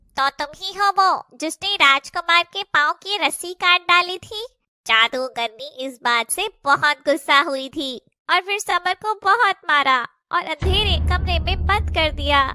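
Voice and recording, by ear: The voice is a cartoonish character voice. Its pitch is high. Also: moderate pace.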